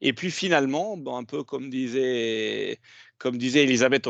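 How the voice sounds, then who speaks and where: A man is speaking. He has an Italian accent. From Italy. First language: Italian (speaking French). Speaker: HR director. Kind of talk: panel discussion.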